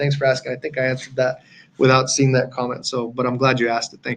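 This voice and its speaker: Fairly high in pitch, a man talks in a somewhat breathy voice. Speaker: trading coach. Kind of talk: webinar tutorial. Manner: fast.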